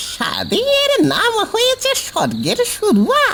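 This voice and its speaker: A squeaky, cartoonish character voice comes through over clear background noise. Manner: chatty, conspiratorial.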